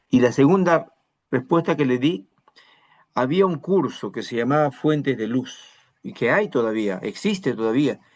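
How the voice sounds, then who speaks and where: Lively intonation marks this fairly slow delivery, broken by long, frequent pauses. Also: man, fairly high pitch for a man. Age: 60s. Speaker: pastor. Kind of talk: sermon.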